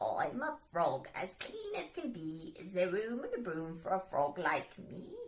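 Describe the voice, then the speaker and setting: A woman's croaky, put-on character voice at medium pitch, fairly slow in pace, with hardly any pauses. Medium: read story.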